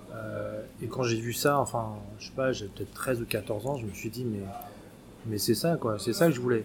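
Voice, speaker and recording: A man with a medium pitch talks at a moderate pace, noticeable background noise around him. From France (Paris). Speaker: role-playing game association volunteer. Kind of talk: casual interview.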